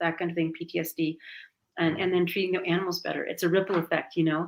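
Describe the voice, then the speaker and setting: Very fast speech in a flat monotone. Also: woman. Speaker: animal sanctuary founder. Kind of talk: interview.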